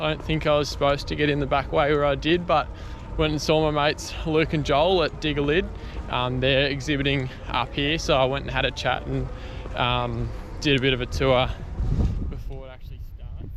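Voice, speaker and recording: Someone speaks at a fairly quick pace with an Australian accent. Noticeable background noise and audible room echo fill the recording. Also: man. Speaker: excavation business owner vlogger. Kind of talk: casual vlog. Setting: travelling, airport and outdoor expo. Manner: soft-spoken.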